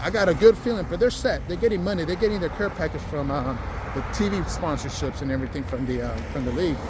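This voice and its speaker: A man's speech carries audible room echo amid noticeable background noise. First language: Spanish. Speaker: vlogger. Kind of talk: casual vlog monologue. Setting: outdoors, walking. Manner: casual, many fillers and restarts.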